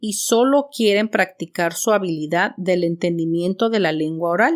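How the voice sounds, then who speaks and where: In a very clean recording with a silent background, a woman speaks at a moderate pace with lively intonation in a plain, everyday voice. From Mexico City. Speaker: podcast host and teacher. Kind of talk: scripted podcast monologue. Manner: clear, measured for learners.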